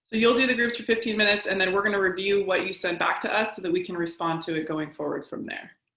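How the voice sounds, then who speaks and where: In a room with audible echo, a woman talks at a very fast pace with hardly any pauses and ordinary pitch variation. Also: medium pitch for a woman. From Washington State, Tacoma. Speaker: psychologist. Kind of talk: webinar presentation.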